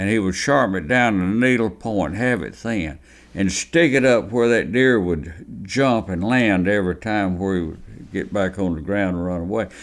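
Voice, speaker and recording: A man with a Southern US accent at a moderate pace, ordinary pitch variation, and hardly any pauses. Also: fairly low pitch for a man. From Alabama. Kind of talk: oral history interview answer.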